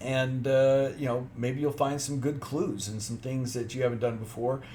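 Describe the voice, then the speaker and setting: The room echo is audible as a man speaks at a moderate pace. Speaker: genealogy YouTuber. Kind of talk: video announcement.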